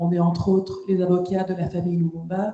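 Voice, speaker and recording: In a fairly low, dark and mellow voice, a woman speaks somewhat breathily with flat, monotone intonation. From Quebec. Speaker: lawyer and law lecturer. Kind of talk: round-table panel talk. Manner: hesitant, many fillers.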